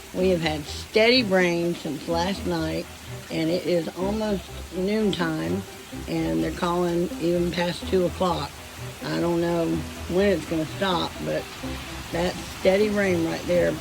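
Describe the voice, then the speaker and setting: Spoken in a Southern US accent at a very slow pace, the clip has long, frequent pauses, audible room echo and music in the background. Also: woman. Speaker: homesteading vlogger. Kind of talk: casual vlog.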